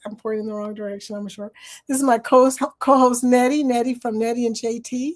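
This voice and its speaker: A woman's high voice at a fairly quick pace, animated in tone, with big swings in loudness. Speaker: live stream host. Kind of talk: casual live chat. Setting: live stream with co-host.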